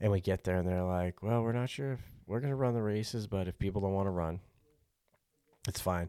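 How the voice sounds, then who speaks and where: At a fairly quick pace with ordinary pitch variation, the speaker leaves long, frequent pauses, and the recording is very clean with a silent background. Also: man, fairly low pitch for a man. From Montana. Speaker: podcast guest. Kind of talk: casual chat. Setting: fishing cabin.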